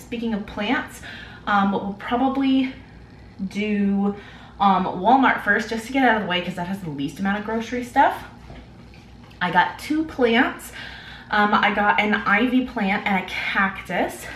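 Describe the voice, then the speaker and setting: Delivered at a fairly slow pace with long, frequent pauses and ordinary pitch variation, the speech carries audible room echo over light background noise. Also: woman. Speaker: vlogger. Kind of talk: casual vlog chat. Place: kitchen.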